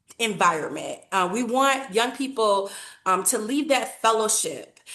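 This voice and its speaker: A woman's bright, sharp voice at a fairly slow pace, with ordinary pitch variation and audible room echo. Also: fairly high pitch for a woman. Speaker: nonprofit program leader. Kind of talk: webinar presentation.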